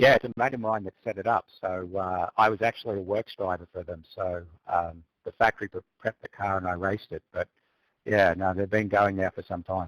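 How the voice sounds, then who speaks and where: In a dry, close sound with no echo, a man with an Australian accent talks at a fairly quick pace, his fairly low pitch carrying fairly even intonation. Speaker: sim racer, former real race driver. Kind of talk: casual chat.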